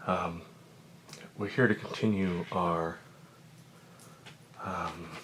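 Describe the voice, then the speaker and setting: With noticeable background noise around him, a man speaks in a very deep, low voice at a very slow pace, leaving long, frequent pauses. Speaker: physics teacher. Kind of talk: ASMR educational lesson, soft spoken. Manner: soft-spoken.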